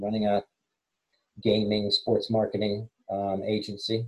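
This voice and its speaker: Speaking with an American accent, the voice sounds somewhat breathy. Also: man. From England, partly raised in the US. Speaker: former sports business executive. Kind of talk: casual interview chat.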